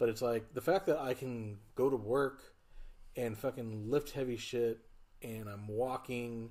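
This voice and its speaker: Speaking fairly slowly, a man with a medium pitch and a dark, mellow tone keeps his intonation fairly even. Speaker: podcast guest. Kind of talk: casual chat. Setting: podcast studio. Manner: slightly slurred speech from stroke.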